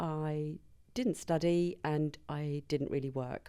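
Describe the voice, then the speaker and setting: On a very clean recording with a silent background, a woman with a slight Birmingham accent speaks in a very deep, low pitch. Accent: slight Birmingham twang. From Birmingham, England. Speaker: business founder, compliance consultant. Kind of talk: interview.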